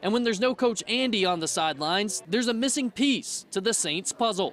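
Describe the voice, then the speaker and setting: With an American accent, a man talks at a fairly quick pace in a high pitch, his intonation lively. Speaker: sports anchor and reporter. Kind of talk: local TV sports reporting.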